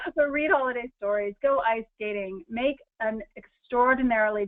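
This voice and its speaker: With an American accent and an animated tone, a woman talks at a moderate pace with ordinary pitch variation. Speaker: lifestyle and money-saving speaker. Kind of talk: webinar presentation. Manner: many fillers.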